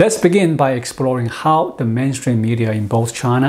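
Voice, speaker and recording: Ordinary pitch variation marks the male speaker. He moves at a moderate pace. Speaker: commentator. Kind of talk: commentary. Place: home room. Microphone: lapel.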